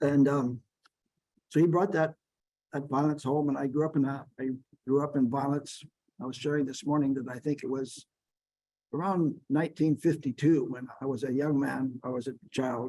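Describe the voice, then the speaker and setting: Using a dark, mellow tone, a man with an American accent speaks in a fairly high pitch at a moderate pace, with fairly even intonation and long, frequent pauses. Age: 70s. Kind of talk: workshop talk.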